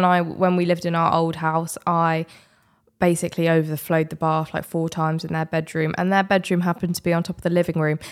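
In a British accent, a woman speaks very fast at a fairly low pitch. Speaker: podcast co-host. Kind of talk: casual chat.

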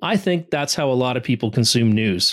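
With lively intonation, a man keeps to a moderate tempo. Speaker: opinion commentator. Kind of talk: scripted rant. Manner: animated.

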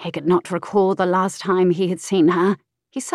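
Quiet surroundings around plain reading aloud

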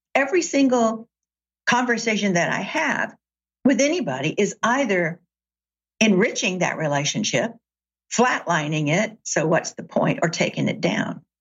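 With an American accent, a woman speaks at a moderate pace in a fairly high, somewhat breathy voice. Her pitch swings very widely, and she takes long, frequent pauses. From US South, Chattanooga, Tennessee. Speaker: author and executive coach. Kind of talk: interview conversation.

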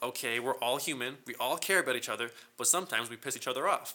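A man with an American accent talks at a very fast pace. His tone is bright and sharp. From California. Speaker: guitarist. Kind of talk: casual chat. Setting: studio.

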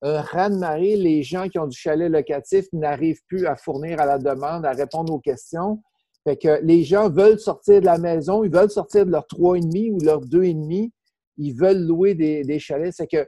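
Speaking fairly slowly in a Quebec accent, the voice has a dark, mellow tone, ordinary pitch variation and a dry, close sound with no echo. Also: man, high pitch for a man. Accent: Québécois French. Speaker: real estate investor and trainer. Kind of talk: interview. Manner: casual, repetitive.

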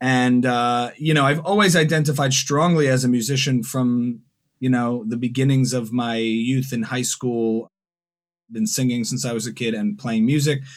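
A man speaks in a plain, everyday voice. His pitch is medium, with ordinary pitch variation. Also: moderate pace. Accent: American. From New Jersey. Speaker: musician and comedian. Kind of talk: casual interview.

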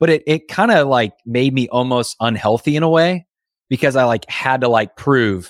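Over a dry, close sound with no echo, a man with an American accent and a normal speaking voice talks at a moderate pace, with very even loudness and ordinary pitch variation. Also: medium pitch for a man. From Indiana. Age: 30s. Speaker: entrepreneur and business coach. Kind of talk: interview. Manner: casual, conversational.

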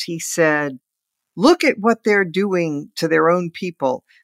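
The recording is very clean, with a silent background and a dry, close sound with no echo. A woman speaks at a fairly low pitch. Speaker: podcast host and political columnist. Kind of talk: political roundtable discussion.

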